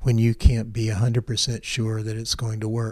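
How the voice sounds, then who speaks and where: A man speaks with an American accent at a medium pitch. His voice is somewhat breathy and his intonation is monotone and flat. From US South, Memphis, Tennessee. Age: 60s. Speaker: agricultural scientist, seed vault founder. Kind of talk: interview conversation. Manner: hesitant, with fillers and repetitions.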